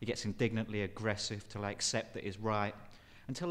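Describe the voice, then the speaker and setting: A man with a plain, everyday voice, fairly low in pitch and fairly quick in pace. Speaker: performance poet. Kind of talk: performance poetry.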